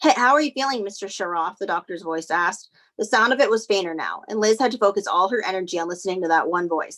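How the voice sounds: A natural reading voice carries lively intonation against a quiet background.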